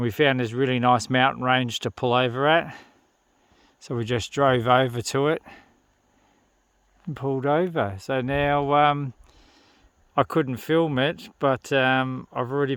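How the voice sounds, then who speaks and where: With an Australian accent, a man speaks at a fairly slow pace with long, frequent pauses. His medium pitch holds fairly even intonation. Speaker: outback motorbike travel vlogger. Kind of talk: travel vlog narration. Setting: outdoors. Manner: casual, with many fillers.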